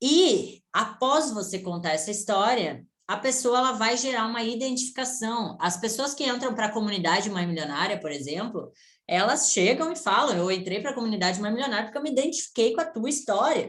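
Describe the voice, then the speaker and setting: With fairly quick delivery and a lively rise and fall, an unremarkable speaking voice carries on. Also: woman, fairly high pitch for a woman. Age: 20s. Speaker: online business mentor. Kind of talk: online mentoring session. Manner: casual, conversational.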